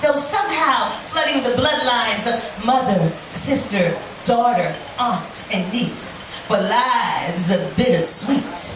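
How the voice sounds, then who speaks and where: A woman with an American accent speaks at a very slow pace, her high pitch moving through very wide swings. Noticeable background noise sits behind her voice. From Brooklyn, New York. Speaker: spoken word poet. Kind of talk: live spoken word poetry performance. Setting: bar stage, live audience.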